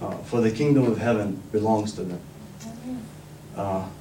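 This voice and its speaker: Audible room echo hangs around this man's voice. He keeps a moderate pace, with ordinary pitch variation. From northern Iraq. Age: 20s. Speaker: community activist. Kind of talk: speech.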